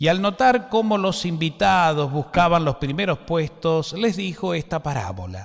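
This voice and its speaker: In an Argentine accent, a man with a high pitch speaks with lively intonation. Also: very clean recording, silent background. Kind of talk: liturgical gospel reading.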